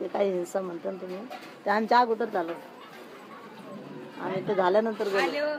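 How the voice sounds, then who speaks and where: Crowd noise fills the background as a woman speaks with ordinary pitch variation. Her loudness swings widely. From Maharashtra, India. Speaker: Dalit Panthers activist, movement participant. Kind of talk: oral history interview answer. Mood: calm, reminiscing. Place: home room.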